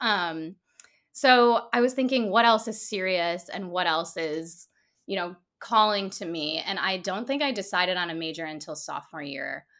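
In a very clean recording with a silent background, a woman with an American accent speaks in a bright, sharp tone with lively intonation. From Michigan. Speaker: human design coach. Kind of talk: casual interview chat. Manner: animated.

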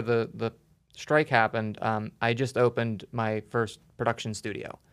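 A normal speaking voice, a man at medium pitch and moderate pace, on a very clean recording with a silent background. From western Pennsylvania, Pittsburgh area. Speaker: special effects artist. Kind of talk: casual interview.

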